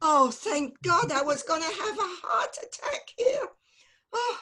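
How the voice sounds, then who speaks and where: A woman uses a put-on character voice at an extremely high pitch, with very wide pitch swings. Her pace is fairly slow. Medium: game stream. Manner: fussy, dramatic.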